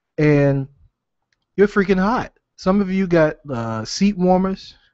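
The background is quiet, and the sound is dry with no echo. A man talks at a fairly slow pace, his pitch varying in an ordinary way. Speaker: podcast host. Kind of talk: casual podcast monologue. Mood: irritated, humorous ranting. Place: home room. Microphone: studio mic.

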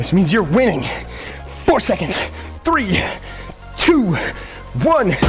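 The speech moves at a fairly slow pace. Music plays clearly in the background. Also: man. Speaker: fitness instructor. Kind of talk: workout coaching cues. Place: gym.

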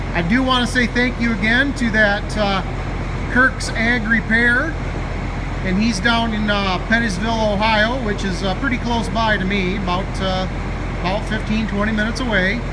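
The pace is moderate. There is noticeable background noise. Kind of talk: tutorial. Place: garage. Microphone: phone near.

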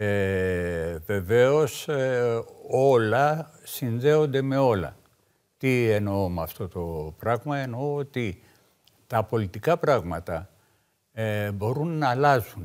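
Against a quiet background, a man speaks at a very slow pace with lively intonation. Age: 60s. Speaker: veteran left-wing politician; guest. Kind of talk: political talk show debate. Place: studio. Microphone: lapel.

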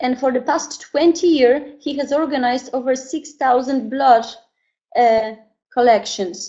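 A woman speaks with a Polish accent at a high pitch and ordinary pitch variation. The background is quiet. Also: fairly slow pace. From Poland. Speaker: network marketing presenter; presenter. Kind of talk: online sales presentation. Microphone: webcam.

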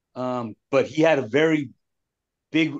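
The speaker is a man with fairly even intonation. The background is quiet. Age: 50s. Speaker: group call participant sharing his story. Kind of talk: support group sharing. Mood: reflective, candid about a hard childhood. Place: home room. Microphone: video call.

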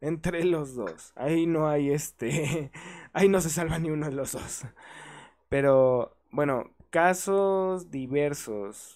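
A man speaks at a fairly high pitch and a very slow pace, with a Mexican accent. The recording is very clean, with a silent background. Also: ordinary pitch variation. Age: 20s. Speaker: podcast host and community manager. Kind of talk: casual chat.

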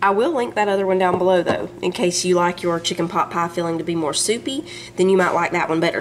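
A woman speaks at a very fast pace with fairly even intonation. Faint music sits in the background. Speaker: home cook vlogger. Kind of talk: cooking tutorial. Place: kitchen.

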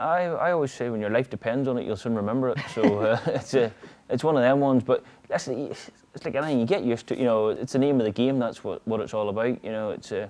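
Someone talks at a very fast pace in a strong Northern Irish accent. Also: man, ordinary pitch variation. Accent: thick Northern Irish. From Northern Ireland. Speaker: motorcycle road racer. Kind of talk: interview answer. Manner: casual, nonchalant. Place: garage.

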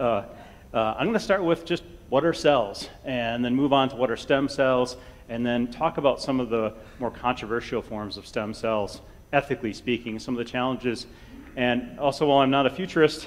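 A man's pitch moves in an ordinary way as he speaks at a moderate pace. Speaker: invited lecturer, college biology teacher. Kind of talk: lecture. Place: hall.

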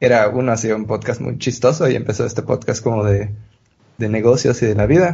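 Somewhat breathy, the man's medium-pitched voice has ordinary pitch variation. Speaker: podcast host and producer. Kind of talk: casual chat.

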